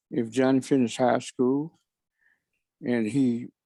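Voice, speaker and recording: A man with an American accent speaks at a fairly slow pace in a medium pitch, his dark, mellow tone and fairly even intonation captured as a dry, close sound with no echo over a quiet background. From US South, Alabama (Tuskegee). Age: 70s. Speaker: professor and author, guest speaker. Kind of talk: guest lecture to students.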